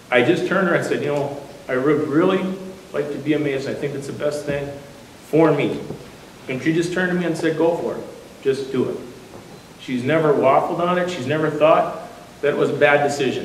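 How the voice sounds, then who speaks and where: Fairly quick speech with long, frequent pauses and fairly even intonation, against noticeable background noise and audible room echo. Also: man, fairly high pitch for a man. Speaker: newly installed lodge master. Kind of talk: installation speech. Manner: fast.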